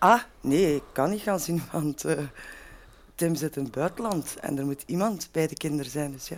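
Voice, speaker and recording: Ordinary pitch variation and a moderate pace from a woman with a very deep, low pitch. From Belgium, Lier (Antwerp province). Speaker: football supporter pundit. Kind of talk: casual chat.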